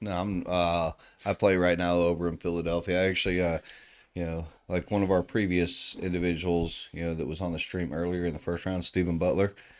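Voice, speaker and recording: Recorded very cleanly against a silent background, a man with a Southern US accent speaks in a very deep, low pitch and a monotone, flat intonation. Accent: Southern drawl. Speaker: darts commentator. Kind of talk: live sports commentary. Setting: live stream at a darts tournament.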